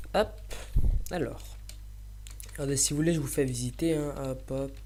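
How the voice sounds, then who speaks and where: A soft-spoken man amid audible room echo. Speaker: gaming youtuber. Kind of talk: let's play commentary. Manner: halting.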